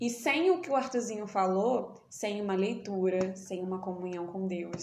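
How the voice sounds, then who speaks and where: Amid noticeable background noise and audible room echo, a woman talks with lively intonation. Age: 20s. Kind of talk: casual chat.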